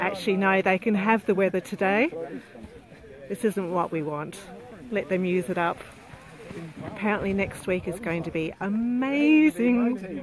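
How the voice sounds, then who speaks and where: Over noticeable background noise, a woman talks at a medium pitch with lively intonation and long, frequent pauses. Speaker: event live-streamer. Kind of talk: casual live commentary. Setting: outdoors.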